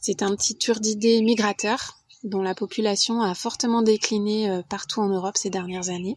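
A woman speaks at a fairly high pitch in a monotone, flat way. The sound is dry and close, with no echo. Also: moderate pace. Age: 40s. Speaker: podcast volunteer. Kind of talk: scripted narration.

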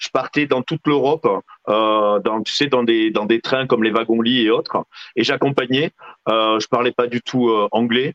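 The man has a normal speaking voice at a medium pitch. He talks at a fairly slow pace with fairly even intonation. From southwestern France (Lot). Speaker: real estate agent and TV personality. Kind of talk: interview.

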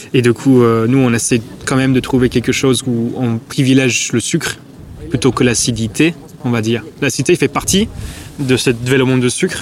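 A man talks at a medium pitch and moderate pace with very even loudness. Noticeable background noise runs underneath. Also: fairly even intonation. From England. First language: English (speaking French). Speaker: coffee shop owner. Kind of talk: interview. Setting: wine fair.

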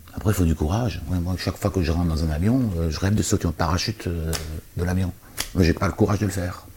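The speech comes at a very fast pace. There is noticeable background noise behind it. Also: man, very deep, low pitch for a man, fairly even intonation. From Alsace, France. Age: 50s. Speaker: entrepreneur. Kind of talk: interview.

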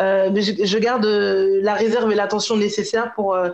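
The speech unfolds at a fairly slow pace. The background is quiet. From Paris region, France (Guadeloupean parents). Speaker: Instagram content creator and blogger on Afro culture. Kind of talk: podcast interview. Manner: halting with frequent fillers.

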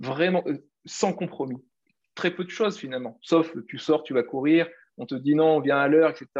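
A man speaks fairly slowly in a fairly high pitch with ordinary pitch variation. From Réunion. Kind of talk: casual interview. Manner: halting, many fillers.

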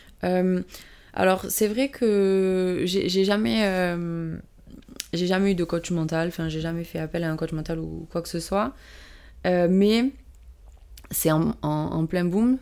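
In a very clean recording with a silent background, a woman with a dark, mellow tone and fairly low pitch speaks at a very slow pace, leaving long, frequent pauses. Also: ordinary pitch variation. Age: 20s. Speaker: PE teacher and amateur rugby player. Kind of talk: interview. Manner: hesitant, many fillers.

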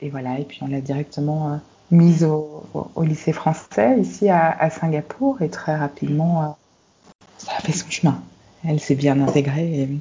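Somewhat breathy and at a very deep, low pitch, a woman talks at a fairly slow pace with ordinary pitch variation, big swings in loudness, and long, frequent pauses. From Belgium, Brussels. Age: 40s. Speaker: life and career coach. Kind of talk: interview.

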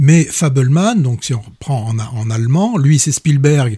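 Speaking fairly slowly, a man with a dark, mellow tone sounds somewhat breathy and varies his pitch in an ordinary way. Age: 40s. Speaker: film critic radio host. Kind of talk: casual chat. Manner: halting, frequent repetitions.

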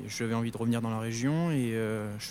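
Keeping a moderate pace, a man speaks at a medium pitch with fairly even intonation. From Corrèze area, central France. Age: 20s. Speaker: plant technician. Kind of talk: interview.

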